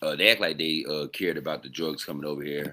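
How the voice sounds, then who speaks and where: A man speaks in a bright, sharp tone. His pace is moderate. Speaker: podcast host. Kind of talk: casual live stream commentary. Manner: halting, stumbling over words.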